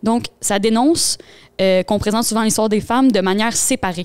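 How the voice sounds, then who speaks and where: A woman at medium pitch with a Quebec accent, very fast, with ordinary pitch variation and a dry, close sound with no echo. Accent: Québécois French. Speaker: podcast co-host. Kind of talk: casual chat; book summary.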